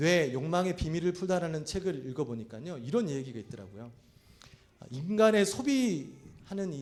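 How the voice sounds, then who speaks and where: This man's voice sits high for a man and swings very widely in pitch. Audible room echo hangs on the recording. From Korea, South Chungcheong. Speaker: pastor. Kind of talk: sermon.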